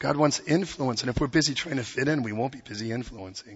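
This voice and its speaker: Speaking at a fairly quick pace, a man with a medium pitch sounds somewhat breathy and uses ordinary pitch variation. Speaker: pastor. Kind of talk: sermon. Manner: animated.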